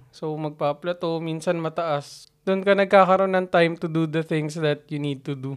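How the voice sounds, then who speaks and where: A man's fairly high voice, fairly even in intonation, at a moderate pace with hardly any pauses, against a quiet background. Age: 30s. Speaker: podcast co-host. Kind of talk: casual chat. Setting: home recording. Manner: quiet, reserved.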